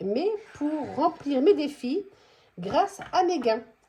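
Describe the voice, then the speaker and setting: This voice moves at a very slow pace, its pitch swinging very widely. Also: woman. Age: 50s. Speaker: budgeting vlogger. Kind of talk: casual vlog tutorial. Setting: at home. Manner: hesitant, many fillers.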